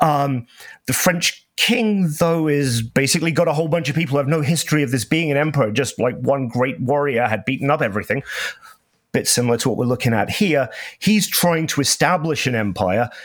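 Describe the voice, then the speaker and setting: A man with an unremarkable speaking voice talks at a fairly quick pace, fairly high in pitch, with lively intonation. His loudness stays very even on a very clean recording with a silent background. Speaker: panel member. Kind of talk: casual panel discussion.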